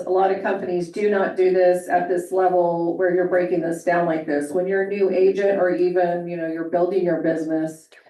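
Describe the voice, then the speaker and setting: Noticeable noise runs underneath the recording. The talking proceeds at a moderate speed. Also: woman. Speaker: real estate agent. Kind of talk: audience comment. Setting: meeting room with audience, handheld microphone.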